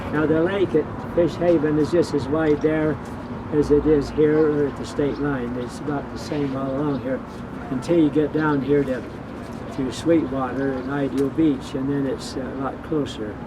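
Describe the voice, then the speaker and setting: Against noticeable background noise, a man with an American accent speaks at a moderate pace with a fairly high pitch and fairly even intonation. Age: 80s+. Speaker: former marathon swimmer. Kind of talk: interview answer. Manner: hesitant, conversational.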